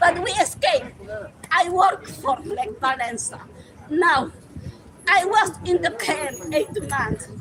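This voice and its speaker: With a Polish accent and an extremely high pitch, a woman speaks at a very slow pace in a passionate tone, her pitch swinging very widely between long, frequent pauses, over noticeable background noise. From Poland. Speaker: retired teacher, tenant activist. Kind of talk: street rally interview.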